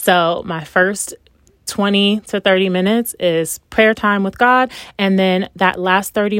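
The sound is dry and close, with no echo. A woman speaks at medium pitch with ordinary pitch variation. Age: 30s. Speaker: podcast host and family physician. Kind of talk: solo podcast monologue. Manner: upbeat, enthusiastic.

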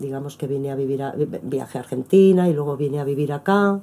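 Ordinary pitch variation in a woman's dark, mellow voice. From Spain, Madrid. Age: 50s. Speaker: performing artist. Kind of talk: interview. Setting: at the host's home.

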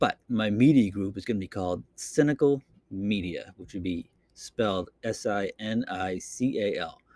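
A man with a Boston accent speaks at a moderate pace, his pitch fairly low with ordinary variation. His loudness swings widely, and the sound is dry and close with no echo. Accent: Boston accent, drops R's. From Boston, Massachusetts. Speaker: podcaster. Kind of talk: casual solo monologue podcast. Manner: casual, rambling, with filler words.

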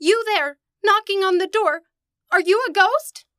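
A woman does a squeaky, put-on character voice at an extremely high pitch and moderate pace, in a dry, close sound with no echo. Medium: old radio play. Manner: innocent, naive.

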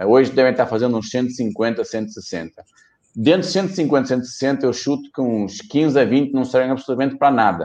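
A man speaks at a fairly slow pace at medium pitch. He has an ordinary speaking voice with ordinary pitch variation. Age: 40s. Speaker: company executive. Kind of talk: interview.

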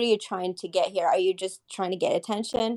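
In a dry, close sound with no echo, a woman uses a normal speaking voice at a medium pitch with fairly even intonation. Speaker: audience participant. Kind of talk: live audio room chat. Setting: live online audio room.

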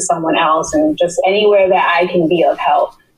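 A woman speaks in a plain, everyday voice, fairly low in pitch. Her pace is moderate and her intonation fairly even. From New York City (Queens). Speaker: public health researcher. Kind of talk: interview.

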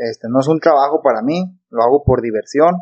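A plain, everyday voice runs at a fairly quick pace with ordinary pitch variation. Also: man. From Mexico, Nayarit (born Sinaloa). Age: 20s. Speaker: pilot. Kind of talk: casual chat.

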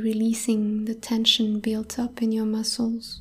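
A woman speaks at a fairly slow pace in a calm, soothing tone, her fairly high voice somewhat breathy. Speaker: podcast host and meditation guide. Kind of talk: guided meditation. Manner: slow, calm, soothing, soft-spoken, with long pauses.

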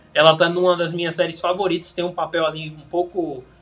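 Music plays in the background as a man talks at a moderate pace. His pitch is high. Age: 20s. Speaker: film recommendation influencer. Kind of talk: casual chat.

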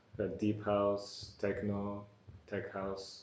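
A man talks at a fairly slow pace in a dark, mellow tone, with audible room echo. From born in Bulgaria, raised in New York from age 9. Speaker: electronic music producer and DJ. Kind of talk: interview. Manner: halting.

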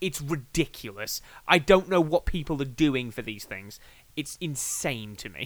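A man with an English accent, fairly high-pitched and fairly slow, with big swings in loudness, in a very clean recording with a silent background. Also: lively intonation. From England. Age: 20s. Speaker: podcaster. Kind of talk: casual chat. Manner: animated.

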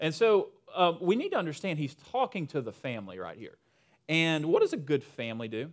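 In a Southern US accent, a man talks at a fairly quick pace with vocal fry, very wide pitch swings and big swings in loudness, on a very clean recording with a silent background. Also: fairly high pitch for a man. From Western North Carolina. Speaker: pastor. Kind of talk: sermon. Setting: church with congregation. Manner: casual, humorous.

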